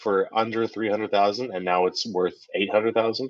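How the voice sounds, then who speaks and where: This man has a normal speaking voice with a Canadian accent and a medium pitch. His intonation is fairly even, and he talks at a fairly quick pace. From Canada, British Columbia. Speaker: podcast co-host. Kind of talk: casual chat.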